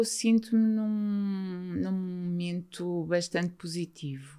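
In a very clean recording with a silent background, a woman with a dark, mellow tone and medium pitch speaks very slowly with ordinary pitch variation. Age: 50s. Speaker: mental health author. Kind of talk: interview testimony.

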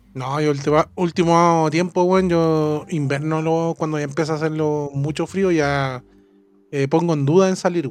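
Against a quiet background, a man with a Chilean accent and a fairly high pitch speaks at a fairly slow pace with fairly even intonation. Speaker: podcast co-host. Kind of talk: casual chat.

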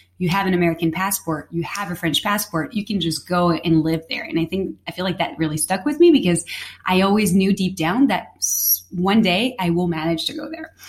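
A woman talks at a medium pitch with lively intonation. Noticeable background noise can be heard. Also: fairly quick pace. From Paris, France. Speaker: guest, chef's daughter. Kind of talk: casual conversation.

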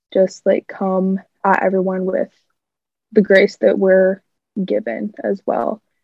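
A woman with an American accent speaks at a very slow pace, with long, frequent pauses. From US Midwest, Iowa (Clive). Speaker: college student, sorority member. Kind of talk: casual interview. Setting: video call.

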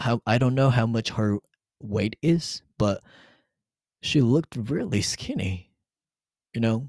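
A man's medium-pitched voice with a Japanese accent, fairly slow pace, ordinary pitch variation, and a dry, close sound with no echo. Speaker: podcast host, Japanese teacher. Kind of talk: solo podcast monologue.

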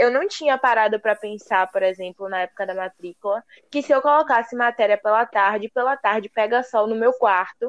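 A woman speaks in a normal speaking voice, fairly high in pitch with ordinary pitch variation, at a fairly quick pace with hardly any pauses. The sound is dry and close, with no echo. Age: young. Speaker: university student. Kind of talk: casual chat.

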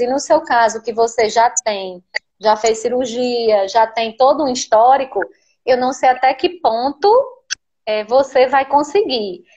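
A fairly slow pace with ordinary pitch variation. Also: woman. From Natal, Rio Grande do Norte, Brazil. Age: 30s. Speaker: pregnant woman asking a question. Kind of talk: live Q&A conversation. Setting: video call on a live stream.

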